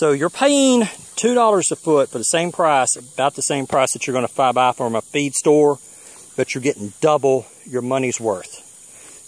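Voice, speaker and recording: The man speaks at a moderate pace with an American accent. His sound is dry, with no echo. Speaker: homesteader vlogger. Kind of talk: casual how-to video. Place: garden. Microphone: phone near.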